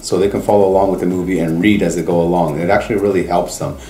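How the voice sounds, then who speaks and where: A man with a Canadian accent and a very deep, low voice, fairly even intonation, audible room echo and music in the background. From Canada. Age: 40s. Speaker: host family parent. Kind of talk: interview testimony.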